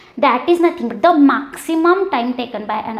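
A woman speaks at a fairly quick pace with audible room echo. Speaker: teacher. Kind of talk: lecture. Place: classroom. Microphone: lapel.

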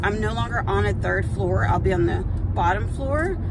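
Loud background noise surrounds a woman talking at a fairly quick pace, the sound dry with no echo. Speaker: vlogger. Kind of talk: casual vlog chat. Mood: frustrated, anxious. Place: car. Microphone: phone near.

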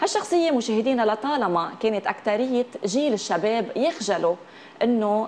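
Light background noise sits behind a woman with a Lebanese accent. Her pitch is fairly high and her pace moderate. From Lebanon. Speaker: TV talk show host. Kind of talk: TV interview. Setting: TV studio with audience. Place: studio. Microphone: lapel.

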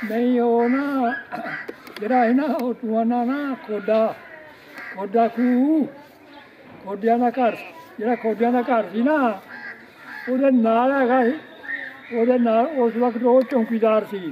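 A man's extremely high-pitched voice with fairly even intonation, over light background noise. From East Punjab, Amritsar district; Punjab, India. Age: 80s+. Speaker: partition migrant elder; guest. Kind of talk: casual chat. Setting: video call.

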